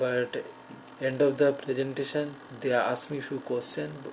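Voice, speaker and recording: A man's monotone, flat voice over noticeable background noise. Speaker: person who stutters, graduate student. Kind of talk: personal testimony. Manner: halting.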